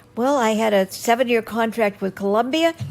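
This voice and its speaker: Noticeable background noise sits behind this woman's voice. She talks at a moderate pace with a fairly high pitch. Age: 80s+. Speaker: actress. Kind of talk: interview answer, Hollywood memories.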